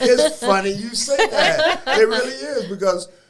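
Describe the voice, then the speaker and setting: A man speaks with an American accent. His voice is high in pitch. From Toledo, Ohio (US Midwest). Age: 60s. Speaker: former professional basketball player. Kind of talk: podcast interview. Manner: animated.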